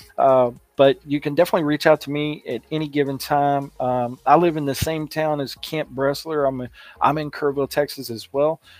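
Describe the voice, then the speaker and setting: With music in the background, a man with a fairly high pitch talks at a fairly quick pace in a monotone, flat intonation, heard as a dry, close sound with no echo. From Kentucky, Louisville. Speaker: podcast host, kidney transplant recipient. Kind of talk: casual video talk to viewers. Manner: casual with many fillers (uh, you know).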